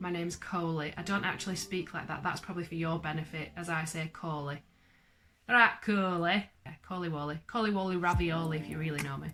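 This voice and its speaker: Speaking at a fairly quick pace with a Lancashire accent, the voice carries a bright, sharp tone and fairly even intonation. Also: woman, fairly low pitch for a woman. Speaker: vlogger. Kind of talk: casual chat. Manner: chatty, rambling.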